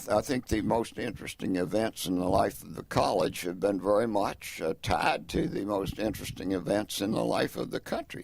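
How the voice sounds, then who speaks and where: A man with an American accent speaks at a moderate pace and fairly low pitch with ordinary pitch variation, hardly any pauses, and noticeable background noise. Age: 80s+. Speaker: retired professor and alumnus. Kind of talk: oral history interview. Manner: halting, with frequent restarts.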